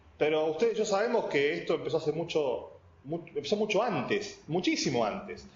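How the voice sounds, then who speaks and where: A man at a fairly quick pace, with noticeable background noise and audible room echo. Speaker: IT specialist and lecturer. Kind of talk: technical presentation. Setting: videoconference. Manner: fast.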